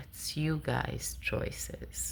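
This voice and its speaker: A woman with a non-native accent. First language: not English. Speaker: spiritual vlogger. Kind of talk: personal monologue. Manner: halting.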